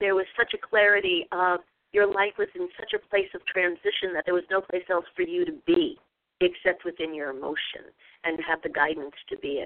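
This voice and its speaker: A woman speaks in a plain, everyday voice. Her intonation is lively and her pace moderate. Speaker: radio host and women's group facilitator. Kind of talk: facilitated group discussion. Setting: phone call, from a group gathering.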